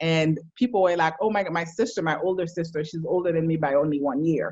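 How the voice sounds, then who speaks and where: With a Haitian accent, a woman talks in a fairly low voice with ordinary pitch variation. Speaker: psychologist. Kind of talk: casual chat.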